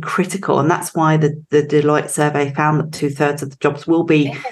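With an English accent, the speech moves at a moderate pace. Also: woman. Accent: English accent, still noticeable. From England. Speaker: recruitment company director. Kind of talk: interview conversation.

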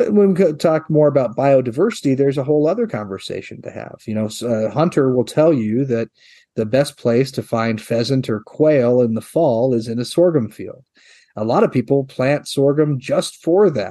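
Against a quiet background, a man speaks with a Midwestern American accent at a moderate pace. His medium-pitched voice has a dark, mellow tone and lively intonation. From US Midwest, eastern Nebraska. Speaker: head of a crop promotion organization. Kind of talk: interview.

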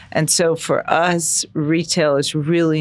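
A woman speaks with an American accent at a very deep, low pitch. The recording is very clean, with a silent background. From US Midwest, Chicago. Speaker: real estate executive. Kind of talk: interview. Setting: podcast studio.

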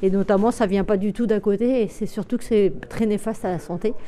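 A woman with a dark, mellow tone and a fairly high pitch speaks at a moderate pace with ordinary pitch variation. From Brittany, France (Brest). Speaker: dairy farmer. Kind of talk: interview in a documentary report. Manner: hesitant, with fillers.

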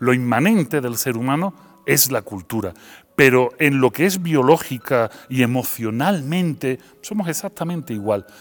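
Delivered at a fairly slow pace with an Andalusian accent, the speech has lively intonation. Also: man. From Seville, Spain. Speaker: philosopher. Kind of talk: interview.

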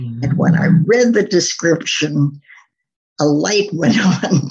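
A woman with an American accent speaks very slowly in a very deep, low, somewhat breathy voice with lively intonation. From US Midwest, Minnesota. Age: 80s+. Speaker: textile designer. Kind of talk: interview.

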